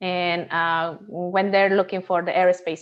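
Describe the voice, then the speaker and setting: A woman's monotone, flat intonation with a Spanish accent. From Peru. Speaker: NASA systems engineer. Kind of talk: interview. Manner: halting, many fillers.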